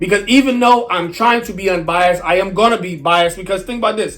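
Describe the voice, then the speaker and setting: This man's high-pitched voice moves at a very fast pace with lively intonation. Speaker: music reaction youtuber. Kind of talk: casual review monologue. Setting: indoors by a window. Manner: halting.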